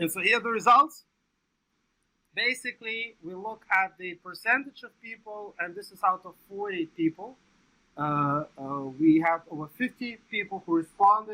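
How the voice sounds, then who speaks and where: A man with a non-native accent talks in a raised, projected voice at a high pitch and a bright, sharp tone. His pace is moderate, and his loudness swings widely. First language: not English. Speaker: research psychologist, meeting organizer. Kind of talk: conference presentation. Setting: meeting room, livestreamed. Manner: hesitant, many fillers.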